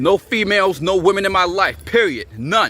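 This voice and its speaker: A man shouting loudly, high in pitch, with lively intonation at a moderate pace. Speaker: fitness and self-improvement vlogger. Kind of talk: angry vlog rant to camera. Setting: talking to camera. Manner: loud, yelling; repetitive, emphatic.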